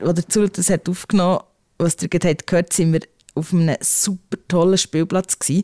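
A woman speaks at a fairly quick pace and fairly low pitch, her tone dark and mellow, her intonation monotone and flat, her loudness very even. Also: dry, close sound with no echo. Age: 40s. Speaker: podcast host. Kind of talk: casual chat.

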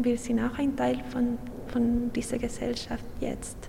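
In a Chilean accent, a woman speaks at a fairly slow pace and a high pitch, with audible room echo and noticeable background noise. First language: Spanish (speaking German). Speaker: artist. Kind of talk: interview. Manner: halting.

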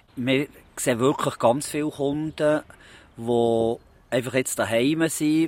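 A man with a fairly high voice speaks with ordinary pitch variation in a dry, close recording with no echo. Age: 40s. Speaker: postman. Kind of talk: interview. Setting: outdoors in a park. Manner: halting.

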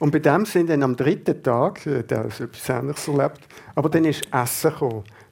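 A man's fairly high voice, a normal speaking voice, at a moderate pace with ordinary pitch variation. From Basel, Switzerland. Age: 50s. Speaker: Zen meditation teacher. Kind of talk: radio interview. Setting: radio studio.

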